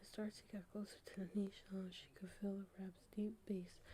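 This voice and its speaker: A soft-spoken woman whispers. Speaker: ASMR creator, hospital worker. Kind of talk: whispered audiobook reading. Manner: whispered, soft, relaxing.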